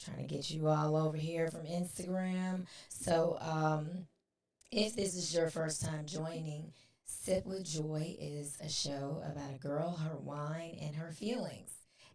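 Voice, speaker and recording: A woman's very deep, low voice at a very slow pace, with fairly even intonation and audible room echo. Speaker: podcast host. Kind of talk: casual chat.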